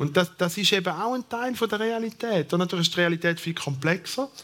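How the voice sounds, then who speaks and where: A man speaks with a Thurgau accent and a high pitch. His pace is fairly quick. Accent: Thurgau Swiss German dialect. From eastern Switzerland, Thurgau. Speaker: sociologist, professor. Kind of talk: panel discussion.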